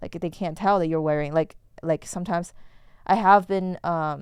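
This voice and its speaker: This speaker talks at a fairly quick pace with a Chinese accent. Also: woman. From China. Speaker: podcast host. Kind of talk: casual chat. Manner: halting.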